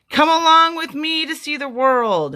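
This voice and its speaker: Someone speaks in a high, put-on character voice. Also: moderate pace. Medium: read story.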